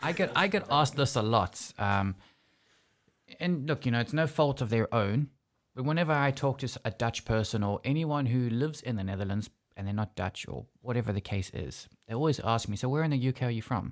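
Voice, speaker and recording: On a very clean recording with a silent background, a man with a South African accent and a medium pitch talks at a fairly quick pace with lively intonation. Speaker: podcast host. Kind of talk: casual chat. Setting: studio.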